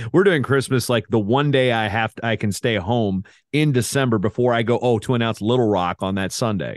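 A man's unremarkable speaking voice, medium in pitch, with ordinary pitch variation and a moderate pace. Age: 40s. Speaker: wrestling announcer and media personality. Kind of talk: casual chat, interview.

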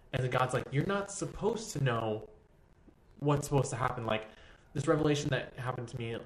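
Audible room echo surrounds a man speaking with an American accent. His voice is somewhat breathy, with ordinary pitch variation. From Texas. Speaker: dance teacher. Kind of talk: casual chat. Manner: animated.

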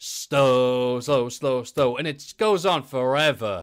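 In a Geordie accent, a man speaks at a fairly high pitch with a bright, sharp tone and ordinary pitch variation on a very clean recording with a silent background. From northeast England, Newcastle. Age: 30s. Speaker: wrestling content creator. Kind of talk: casual chat.

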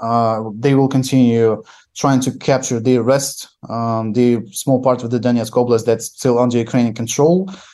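A man speaks at a moderate pace and medium pitch, with ordinary pitch variation and a dark, mellow tone. Behind him, the background is quiet. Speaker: journalist. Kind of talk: remote news interview analysis. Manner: halting, hesitant with fillers.

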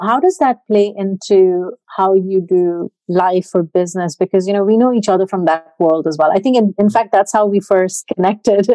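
A woman's dark, mellow voice at a medium pitch and moderate pace, with fairly even intonation, very even loudness, hardly any pauses, and a dry, close sound with no echo. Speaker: podcast host. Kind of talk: casual interview chat.

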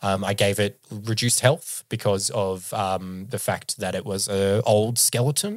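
A man talks at a fairly slow pace, with hardly any pauses. His fairly low voice keeps a fairly even intonation. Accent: Australian. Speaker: podcast host and game master. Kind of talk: casual chat. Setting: remote call.

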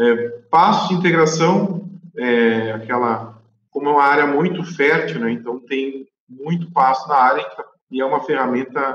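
A man's unremarkable speaking voice, fairly high in pitch, at a fairly slow pace with lively intonation. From southern Brazil, Rio Grande do Sul (Guaíba). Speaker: animal scientist, livestock consultant. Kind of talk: interview.

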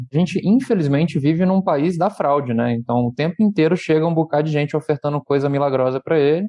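An unremarkable speaking voice is heard. The pitch moves up and down normally. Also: man. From Brazil, Rio de Janeiro. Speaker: startup founder and CEO. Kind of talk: casual podcast interview. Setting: studio.

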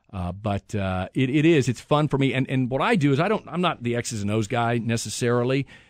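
A man with a normal speaking voice, an American accent, medium pitch, ordinary pitch variation and a fairly quick pace. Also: quiet background. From central Kansas, US. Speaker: TV news anchor. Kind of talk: casual interview.

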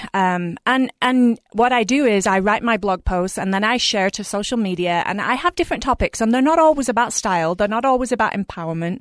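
With an English accent, a woman speaks at a fairly quick pace with fairly high pitch and lively intonation, in a dry, close sound with no echo and a quiet background. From England. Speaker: fashion blogger and influencer. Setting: studio.

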